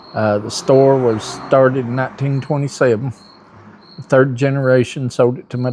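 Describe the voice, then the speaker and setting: With an Appalachian accent, a man speaks at a medium pitch. His delivery is monotone, with flat intonation. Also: big swings in loudness. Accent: Appalachian Southern. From US South, western North Carolina mountains. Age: 60s. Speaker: store owner. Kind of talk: interview.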